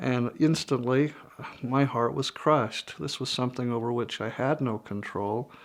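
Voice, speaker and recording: A man with an unremarkable speaking voice and medium pitch talks at a fairly slow pace. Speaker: interviewee, father with microtia. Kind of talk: personal interview testimony.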